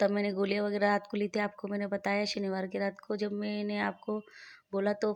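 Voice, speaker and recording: Speaking at a moderate pace, a woman keeps a medium pitch and a flat, monotone delivery. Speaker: vlogger, mother and housewife. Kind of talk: casual vlog narration. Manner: halting.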